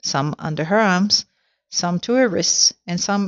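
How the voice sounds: Pitch shifts ordinarily in a natural reading voice. Nothing can be heard in the background.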